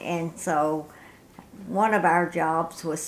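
A woman talks in a Tennessee accent. Her pitch is fairly low and her intonation fairly even. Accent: US Southern (Tennessee). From Middle Tennessee. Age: 90s. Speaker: war veteran's wife. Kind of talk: oral history interview.

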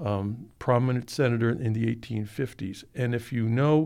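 In an American accent, a man with a medium-pitched voice and a dark, mellow tone speaks at a moderate pace with fairly even intonation against a quiet background. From Massachusetts (Watertown, near Boston). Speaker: history professor. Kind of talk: interview. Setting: studio.

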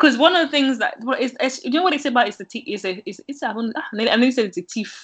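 A woman talks at a fairly quick pace in a high voice. Her intonation is lively and her loudness swings widely. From Nigerian heritage (Yoruba). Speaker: small business owner running classes. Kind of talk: interview.

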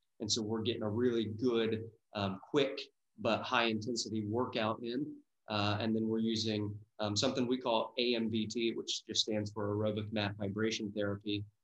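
In an American accent, the speaker talks at a moderate pace with monotone, flat intonation. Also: man, medium pitch for a man. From US Midwest, Dayton, Ohio. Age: 30s. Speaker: wellness business owner. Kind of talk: interview.

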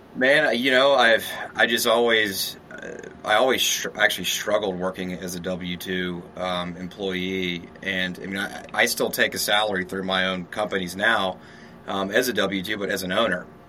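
Against noticeable background noise, a man with an American accent and a very deep, low pitch speaks at a moderate pace with ordinary pitch variation. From US South, Shreveport, Louisiana. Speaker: real estate developer. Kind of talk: interview. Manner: casual.

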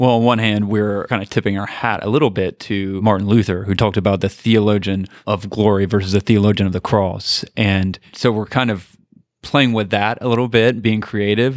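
A man with an ordinary speaking voice talks at a moderate pace with hardly any pauses, fairly low pitch and fairly even intonation, in a very clean recording with a silent background. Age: 30s. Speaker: apologetics scholar and pastor. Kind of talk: casual interview.

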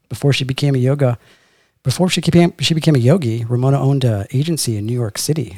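Here a man talks at a very fast pace, medium in pitch and somewhat breathy. His tone is dark and mellow. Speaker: podcast host. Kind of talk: casual interview chat. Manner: animated, joking.

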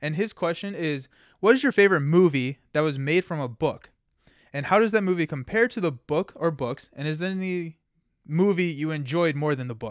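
With a normal speaking voice and an American accent, a man talks at a fairly quick pace and a fairly high pitch, his intonation lively, in a dry, close sound with no echo on a very clean recording with a silent background. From Kentucky, US. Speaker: podcast co-host. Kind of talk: casual chat.

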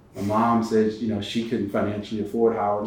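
A man with an American accent and fairly low pitch, talking at a very fast pace over noticeable background noise. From Connecticut. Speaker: entertainment lawyer. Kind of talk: interview. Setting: studio.

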